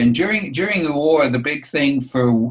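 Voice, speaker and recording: A man talks with a New York accent at medium pitch. His intonation is lively and his pace fairly slow. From New York City (Bronx). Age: 70s. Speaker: grandfather interviewed by granddaughter. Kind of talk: oral history interview. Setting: video call. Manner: halting, with repeated words.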